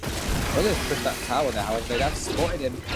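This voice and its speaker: Speech rushes at a very fast pace, with music in the background and audible room echo. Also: man. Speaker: esports caster. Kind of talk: live commentary. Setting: live stream. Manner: animated.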